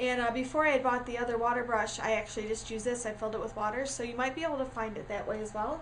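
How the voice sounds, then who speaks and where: A woman's high voice at a very fast pace, with fairly even intonation and hardly any pauses, amid noticeable background noise and audible room echo. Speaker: crafting tutorial creator. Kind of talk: tutorial. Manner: casual, many fillers.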